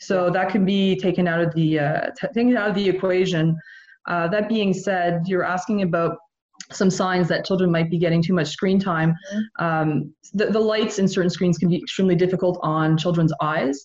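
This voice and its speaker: A woman with a plain, everyday voice at medium pitch, fairly even intonation, very even loudness and a moderate pace. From Canada, Montreal. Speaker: psychology professor. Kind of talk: interview.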